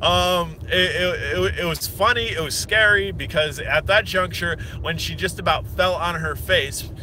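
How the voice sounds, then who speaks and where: Noticeable background noise runs under a man speaking with an American accent at a fairly slow pace. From Pennsylvania (Hershey). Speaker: drone reviewer / vlogger. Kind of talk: casual vlog monologue. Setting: in a car.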